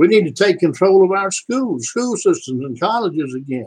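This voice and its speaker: Here a man speaks with a Southern US accent. His pitch is high. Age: 70s. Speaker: YouTube political commentator, veteran. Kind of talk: political rant vlog. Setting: live stream. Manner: animated.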